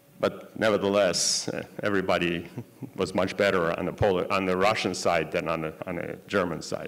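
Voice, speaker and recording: A man's very deep, low voice at a moderate pace, flat and monotone in intonation. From Poland. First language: Yiddish. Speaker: Holocaust survivor giving a talk. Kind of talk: lecture. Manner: halting, with many fillers. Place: hall. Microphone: podium.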